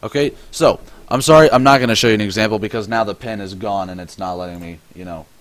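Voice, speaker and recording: A man speaks with a fairly low pitch. His pace is very fast. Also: ordinary pitch variation, big swings in loudness. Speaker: forex trading instructor. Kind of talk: tutorial. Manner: halting, self-correcting; casual.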